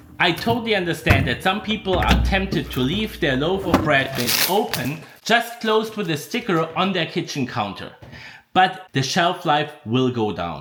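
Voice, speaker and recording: A man speaks at a moderate pace in a high voice with lively intonation. Noticeable background noise runs behind him. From Europe, not Canada. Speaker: farm bakery owner and video maker. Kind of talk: documentary narration and interviews.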